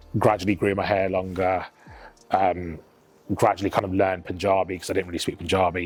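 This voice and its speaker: Monotone, flat intonation from a man with a British accent, a very deep, low pitch and a fairly quick pace. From England, Sikh family. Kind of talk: documentary interview.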